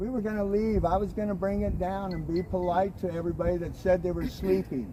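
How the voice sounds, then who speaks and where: A loud, high-pitched male voice. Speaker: pro-life street activist livestreamer. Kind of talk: explaining an incident to police. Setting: outdoors on a sidewalk.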